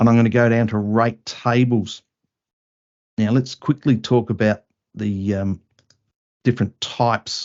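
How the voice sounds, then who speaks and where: A man's medium-pitched voice, fairly slow and fairly even in intonation, broken by long, frequent pauses. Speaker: software trainer. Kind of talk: tutorial.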